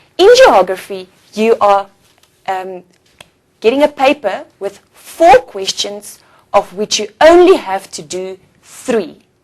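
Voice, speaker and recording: A woman with an Afrikaans South African accent speaks very slowly, with long, frequent pauses. Her intonation is lively and her loudness swings widely. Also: medium pitch for a woman. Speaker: teacher. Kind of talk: lecture. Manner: slightly halting.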